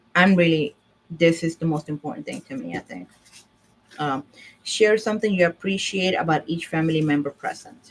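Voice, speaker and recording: A woman speaks in a Puerto Rican accent with a fairly low pitch. Her loudness swings widely while her pitch varies in an ordinary way. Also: moderate pace. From Puerto Rico. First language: Spanish. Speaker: divorce service owner and vlogger. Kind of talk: casual livestream talk. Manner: halting, with fillers.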